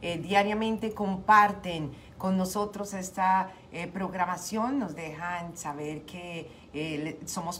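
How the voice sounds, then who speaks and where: Speaking at a very slow pace, a woman with a fairly low voice is heard against light background noise. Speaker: radio show host. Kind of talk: radio host greeting and devotional talk. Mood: warm, grateful, encouraging. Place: home room. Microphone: studio mic.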